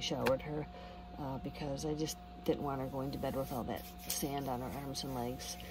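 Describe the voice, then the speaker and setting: A woman with an American accent speaks quietly at a fairly quick pace amid noticeable background noise. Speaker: van camping vlogger. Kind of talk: casual vlog. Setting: inside a van at a campground at night. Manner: quiet, low volume.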